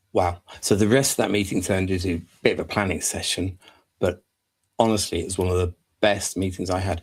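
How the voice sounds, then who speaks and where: The voice is somewhat breathy and monotone, with flat intonation, moving at a fairly quick pace on a very clean recording with a silent background. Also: man, very deep, low pitch for a man. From northern England (Hull). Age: 50s. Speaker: business consultant. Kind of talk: live stream monologue. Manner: casual, conversational.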